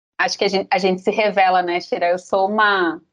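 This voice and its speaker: A woman speaks at a medium pitch in a flat, monotone delivery. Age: 30s. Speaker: HR manager. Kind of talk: casual chat.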